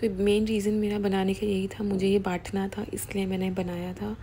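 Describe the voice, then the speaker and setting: A woman at a fairly slow pace, monotone and flat, with light background noise. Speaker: home cooking video creator. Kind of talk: cooking tutorial voiceover; casual cooking tutorial. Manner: halting, with many fillers. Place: kitchen. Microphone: phone near.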